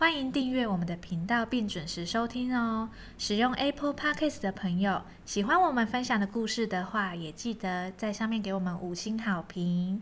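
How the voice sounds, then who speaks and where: A woman talks with a fairly high pitch and lively intonation. Her voice is somewhat breathy, and her pace is moderate. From Taiwan, Kaohsiung. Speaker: podcast host, storyteller. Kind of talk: show outro; bedtime story reading and casual chat.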